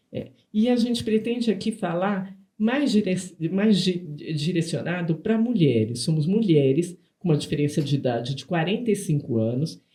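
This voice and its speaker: At a moderate pace, a dark, mellow voice moves through very wide pitch swings. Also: woman, fairly low pitch for a woman. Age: 60s. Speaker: nutritionist and podcast co-host. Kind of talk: casual podcast conversation. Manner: halting, many repetitions and fillers.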